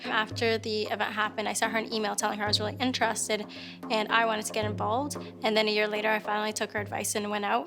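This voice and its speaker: A woman speaks at a very fast pace. Noticeable background noise can be heard. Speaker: slam poet. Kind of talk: interview answer.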